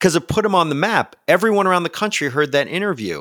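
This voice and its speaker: A man is recorded with a dry, close sound and no echo. The recording is very clean, with a silent background. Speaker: podcast host. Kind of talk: casual interview.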